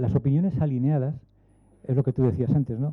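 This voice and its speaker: The words come at a fairly quick pace. It is an unremarkable speaking voice. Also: man. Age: 60s. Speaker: aerospace engineer. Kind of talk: panel talk.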